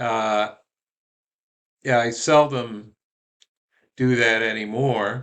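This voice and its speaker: Speaking very slowly with long, frequent pauses, a man of medium pitch keeps a monotone, flat intonation. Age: 70s. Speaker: spiritual group founder. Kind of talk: monologue, personal reminiscence. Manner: halting, many fillers.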